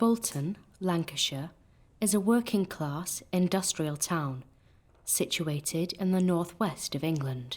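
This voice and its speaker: An unremarkable speaking voice from a woman, fairly low in pitch, at a fairly slow pace with ordinary pitch variation on a very clean recording with a silent background. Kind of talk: ghost story narration.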